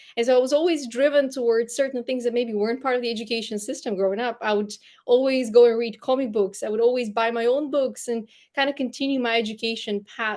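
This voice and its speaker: Speaking at a fairly quick pace with a Bulgarian accent, this voice keeps a fairly even intonation against a quiet background. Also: woman. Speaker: storyteller and brand coach. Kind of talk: interview conversation.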